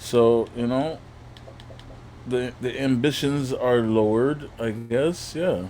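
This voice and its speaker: Amid audible room echo, a man of medium pitch speaks at a very slow pace with ordinary pitch variation and long, frequent pauses. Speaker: gaming streamer. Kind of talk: casual chat.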